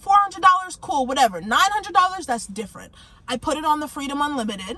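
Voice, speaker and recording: Raising and projecting her high voice, a woman speaks at a very fast pace with very wide pitch swings amid noticeable background noise. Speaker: finance vlogger. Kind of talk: casual tutorial vlog. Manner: casual, conversational.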